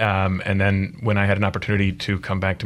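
With an American accent, a man talks very fast in a very deep, low voice with fairly even intonation. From Michigan. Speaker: attorney. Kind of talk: interview discussion.

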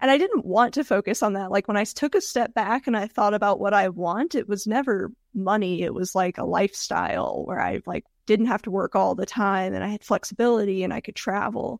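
A woman with an American accent speaks at a fairly quick pace with vocal fry and hardly any pauses. The recording is very clean, with a silent background. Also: medium pitch for a woman, ordinary pitch variation. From US South, Georgia. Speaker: web agency founder. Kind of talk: interview.

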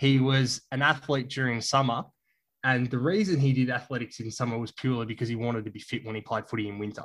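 A man talks at a very fast pace with an Australian accent. His pitch is medium and his intonation fairly even. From Tasmania, Australia. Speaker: journalist. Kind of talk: casual chat.

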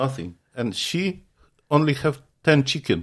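A man with a strong Ukrainian accent, somewhat breathy, at a fairly high pitch and fairly slow pace with lively intonation, in a very clean recording with a silent background. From Ukraine. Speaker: apostle, church leader. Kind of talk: interview, preaching-style talk. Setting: visiting in person in Montana. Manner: halting, broken grammar, earnest.

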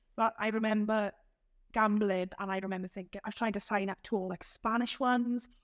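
A woman with a South Wales accent, fairly high in pitch, at a fairly quick pace with monotone, flat intonation, on a very clean recording with a silent background. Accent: Welsh (South Wales). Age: 30s. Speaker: community group founder. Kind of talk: podcast interview.

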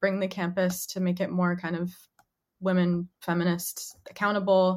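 Using a normal speaking voice, a woman with an American accent talks at a moderate pace in a medium pitch. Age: 20s. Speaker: writer and activist. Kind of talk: casual interview.

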